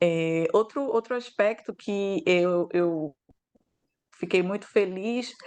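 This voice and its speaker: A woman with lively intonation. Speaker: law professor. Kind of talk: academic lecture. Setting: video call. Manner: hesitant, many fillers.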